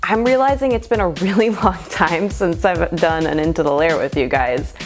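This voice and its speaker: Over music in the background, a woman talks with very wide pitch swings. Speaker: potter and artist. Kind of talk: casual talk to camera.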